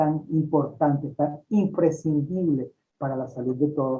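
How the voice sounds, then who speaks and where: A man speaks with a fairly high pitch. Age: 60s. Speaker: holistic doctor and author. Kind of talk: interview.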